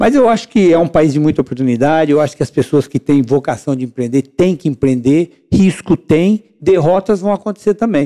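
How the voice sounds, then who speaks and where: A man's fairly high, dark, mellow voice at a moderate pace, with lively intonation, very even loudness and a dry, close sound with no echo. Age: 60s. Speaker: civil engineer and entrepreneur. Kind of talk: podcast interview. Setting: podcast recorded on location.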